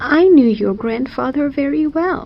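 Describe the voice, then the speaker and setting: This woman is doing a put-on character voice pitched high. Her intonation is lively and her pace moderate. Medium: read story.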